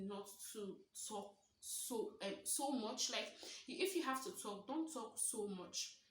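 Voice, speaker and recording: A woman's fairly high voice with lively intonation and audible room echo. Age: 20s. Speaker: stutter and lifestyle vlogger. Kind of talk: vlog monologue. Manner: repetitions and fillers.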